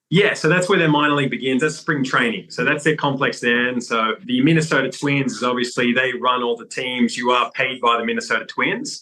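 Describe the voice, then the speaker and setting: Over noticeable background noise, a man with an American accent speaks at a fairly quick pace in a medium pitch, with hardly any pauses. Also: ordinary pitch variation. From Australia, Sydney. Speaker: former pro baseball player and coach. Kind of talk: interview.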